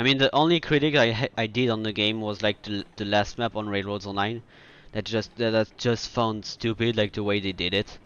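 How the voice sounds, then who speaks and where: Speaking with a French accent, a man keeps a fairly low pitch, a fairly quick pace and fairly even intonation. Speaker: video game streamer. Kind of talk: casual gameplay commentary. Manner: halting, with frequent fillers and restarts.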